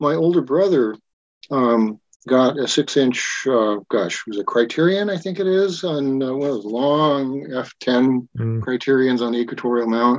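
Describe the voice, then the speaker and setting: An American man talks at a moderate pace, with a medium pitch and lively intonation. He has a plain, everyday voice. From Wyoming, US. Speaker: science fiction writer and telescope maker. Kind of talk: casual interview chat.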